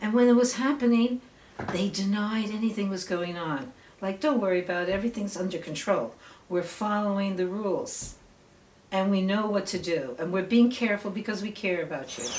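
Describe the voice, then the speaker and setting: A fairly quick pace over noticeable background noise. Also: woman, medium pitch for a woman, ordinary pitch variation. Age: 60s. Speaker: local activist, amateur documentarian. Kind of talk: documentary interview; casual chat.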